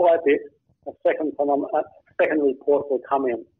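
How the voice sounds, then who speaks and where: This is a man speaking with an Australian accent. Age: 70s. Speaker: author and blogger. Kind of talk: interview.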